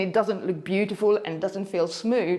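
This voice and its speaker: A woman at a moderate pace with ordinary pitch variation, amid noticeable background noise. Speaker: hula hoop instructor. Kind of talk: motivational talk to camera.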